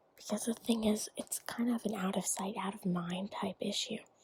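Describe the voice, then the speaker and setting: Whispering at a moderate pace, the speaker sounds soft-spoken. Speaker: student. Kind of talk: ASMR show-and-tell to camera. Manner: soft-spoken, whispered.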